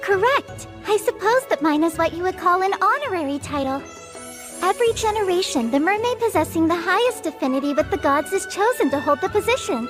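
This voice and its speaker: A put-on character voice, extremely high-pitched and female-sounding, at a fairly quick pace. Clear music plays in the background. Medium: fan dub. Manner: polite, formal, warm.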